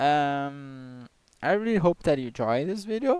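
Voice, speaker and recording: The speech comes at a moderate pace with ordinary pitch variation and a dry, close sound with no echo. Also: man. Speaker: software developer. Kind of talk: tutorial. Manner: halting, with repetitions.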